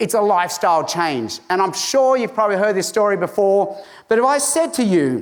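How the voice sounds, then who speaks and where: Amid audible room echo, a high-pitched man talks at a fairly quick pace with very wide pitch swings and very even loudness. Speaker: evangelist and conference speaker. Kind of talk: conference talk.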